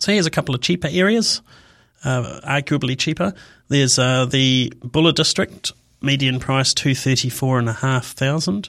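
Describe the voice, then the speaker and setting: Very even in loudness, a man with a New Zealand accent talks at a medium pitch with ordinary pitch variation. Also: moderate pace. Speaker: radio host. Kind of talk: radio talk show monologue. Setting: radio studio.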